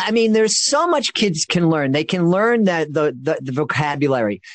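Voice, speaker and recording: A man speaks at a moderate pace with a fairly high pitch and ordinary pitch variation, in an ordinary speaking voice. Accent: American. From Boston. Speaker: children's magician and podcast host. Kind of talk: interview.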